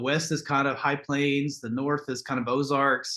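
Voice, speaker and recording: The tone is bright and sharp. The speaker talks with a Southern US accent. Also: man, quiet background. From Texas. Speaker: podcast guest. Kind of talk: casual chat.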